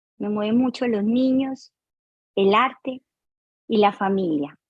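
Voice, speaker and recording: A woman with a fairly high pitch and a somewhat breathy voice speaks at a fairly slow pace, with ordinary pitch variation. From Colombia, Barrancabermeja. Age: 50s. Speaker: dance teacher and choreographer. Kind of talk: interview.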